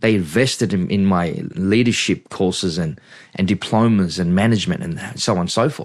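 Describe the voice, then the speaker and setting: Against a quiet background, a man with an Australian accent talks at a moderate pace. His voice is fairly low, and his pitch varies in an ordinary way. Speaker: pastor. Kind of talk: interview, life story testimony. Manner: halting, many fillers and restarts.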